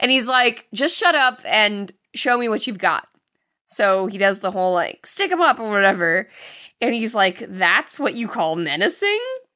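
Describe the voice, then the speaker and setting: This woman's fairly high-pitched voice has a bright, sharp tone and swings very widely in pitch. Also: moderate pace. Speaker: horror movie podcast co-host. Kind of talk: casual chat.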